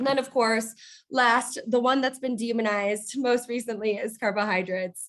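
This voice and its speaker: A woman speaks in a fairly high voice with fairly even intonation. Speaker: registered dietitian. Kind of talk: workplace nutrition presentation. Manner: fast; casual, many fillers.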